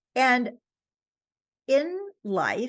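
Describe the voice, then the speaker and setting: A woman with a New York accent against a quiet background. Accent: New York American. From US, New York. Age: 70s. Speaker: author. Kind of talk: interview. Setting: podcast.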